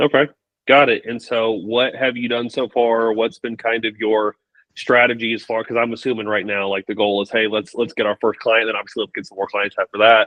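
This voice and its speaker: Monotone and flat, a man with a Texan accent speaks at a medium pitch and a fairly quick pace. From Texas. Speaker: business coach. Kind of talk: live coaching Q&A call.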